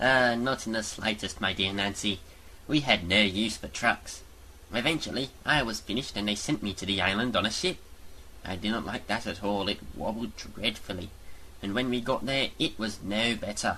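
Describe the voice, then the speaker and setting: A man's put-on character voice, fairly low in pitch, at a moderate pace over clear background noise. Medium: audio drama. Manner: genteel, storytelling.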